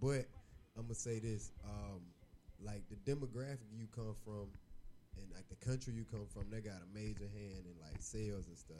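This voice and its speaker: A man with an American accent talks at a moderate pace. His voice has a fairly low pitch and a dark, mellow tone. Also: ordinary pitch variation. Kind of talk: casual banter.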